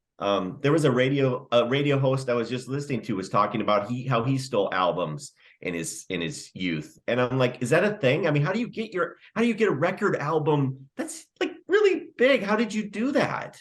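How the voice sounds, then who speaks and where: A man with fairly high pitch and vocal fry talks at a fairly quick pace with hardly any pauses. His pitch swings very widely. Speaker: podcast co-host. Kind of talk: casual comedic chat.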